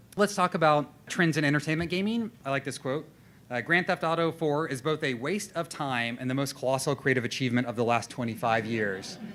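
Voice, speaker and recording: A man's fairly high voice with lively intonation at a fairly quick pace. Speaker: designer and conference speaker. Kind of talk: conference presentation. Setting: stage with audience. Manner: fast; halting, many fillers and repetitions.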